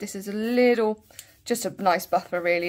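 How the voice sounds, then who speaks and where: A woman with a Bristol accent talks at a fairly quick pace in a medium pitch with ordinary pitch variation, on a very clean recording with a silent background. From England, Bristol. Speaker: nail and beauty YouTuber. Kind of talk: product review tutorial. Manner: casual, chatty.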